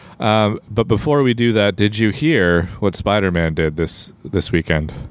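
A man speaks in an unremarkable speaking voice. His pitch is fairly low and his pace fairly slow. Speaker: podcast host. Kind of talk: casual chat.

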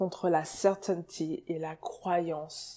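A woman speaks at a medium pitch with a dark, mellow tone on a very clean recording with a silent background. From France, Cameroonian heritage. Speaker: podcast host. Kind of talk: casual monologue. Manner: animated.

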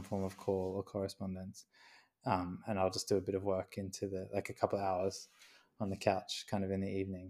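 In an Australian accent, a man talks fairly quickly with a fairly low pitch, a dark, mellow tone and monotone, flat intonation, on a very clean recording with a silent background. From Queensland, Australia. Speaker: graphic designer and artist. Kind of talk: interview.

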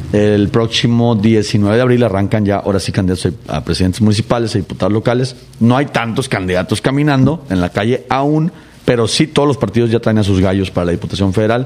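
Over noticeable background noise, a man talks at a fairly quick pace. His loudness stays very even, and his pitch varies in an ordinary way. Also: medium pitch for a man. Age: 30s. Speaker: political candidate. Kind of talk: interview.

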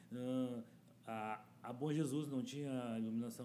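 Audible room echo and noticeable background noise surround a man speaking at a very slow pace. His pitch is medium and his intonation fairly even. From Porto Alegre, southern Brazil. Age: 50s. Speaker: community activist. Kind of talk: interview.

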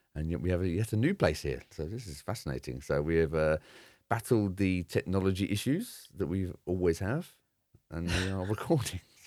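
This man has a very deep, low pitch. He talks at a moderate pace with ordinary pitch variation. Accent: English. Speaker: podcast co-host. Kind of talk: casual chat. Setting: remote call.

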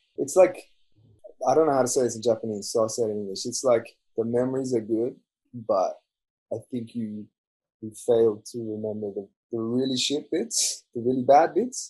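With an Australian accent, a man of medium pitch speaks in a dark, mellow tone at a moderate pace, with ordinary pitch variation and long, frequent pauses. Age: 20s. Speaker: podcast guest. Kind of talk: casual chat.

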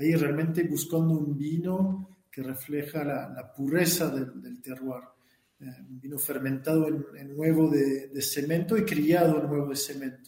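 A man's fairly high voice in a French accent, with fairly even intonation, big swings in loudness and audible room echo. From France, Burgundy. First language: French (speaking Spanish). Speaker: winemaker. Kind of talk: interview. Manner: halting, frequent repetitions.

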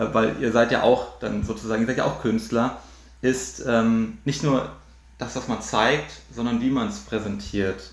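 A man's medium-pitched voice with vocal fry, ordinary pitch variation and a fairly slow pace. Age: 20s. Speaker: magician. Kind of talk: casual chat.

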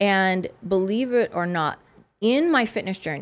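With an American accent, a woman speaks at a medium pitch and a fairly slow pace against a quiet background. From US South, South Louisiana. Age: 40s. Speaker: holistic nutritionist and former fitness competitor. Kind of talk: interview conversation. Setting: studio.

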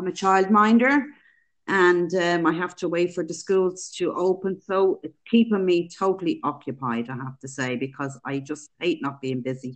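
A woman with a Dublin accent speaks at a fairly low pitch and moderate pace. Her intonation is lively and her loudness swings widely. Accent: Dublin Irish. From Dublin, Ireland. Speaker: childminder and charity runner. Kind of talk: casual interview.

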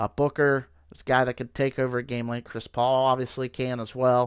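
Recorded very clean with a silent background and a dry, close sound with no echo, a man with an American accent talks at a moderate pace and medium pitch. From Ohio. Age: 30s. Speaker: sports podcast host. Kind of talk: solo casual sports commentary. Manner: many fillers and repetitions.

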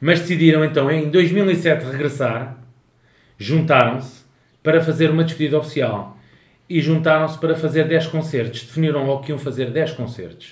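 There is audible room echo around a man whose pitch is fairly high. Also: ordinary pitch variation, moderate pace. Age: 30s. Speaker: podcast co-host. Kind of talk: casual chat.

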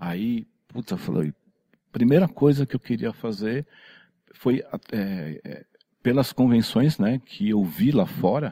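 A man speaks at a very slow pace in a dark, mellow tone with very wide pitch swings. The sound is dry and close, with no echo. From São Paulo, Brazil. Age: 50s. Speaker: tattoo convention organizer. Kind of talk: casual chat.

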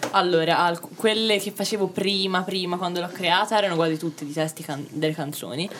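A woman with a fairly low pitch and fairly even intonation speaks at a fairly quick pace with hardly any pauses, over noticeable background noise. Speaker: artist. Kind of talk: casual chat.

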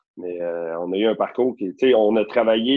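This is a man with a normal speaking voice at medium pitch. He talks at a moderate pace. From Quebec, Rosemère north of Montreal. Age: 30s. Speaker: real estate broker. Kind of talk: casual chat.

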